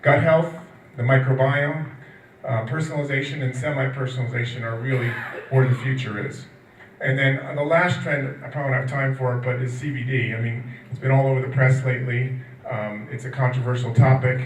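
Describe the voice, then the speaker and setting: Monotone, flat delivery at a fairly quick pace, with audible room echo and noticeable background noise. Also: man, medium pitch for a man. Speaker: nutrition industry analyst. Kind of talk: conference talk. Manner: fast.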